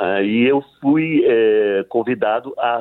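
A man's medium-pitched voice moves with lively intonation. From Leticia, Colombia (Amazon border). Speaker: actor and theatre director. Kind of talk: casual interview.

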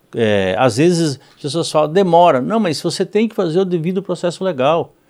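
In a very clean recording against a silent background, the speaker's intonation is lively. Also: man. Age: 50s. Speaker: politician. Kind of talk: interview. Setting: studio. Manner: halting, many repetitions and fillers.

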